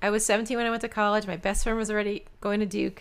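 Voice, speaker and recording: A woman speaks with a New York accent. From New York City, Queens. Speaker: doctor, co-host. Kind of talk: casual chat.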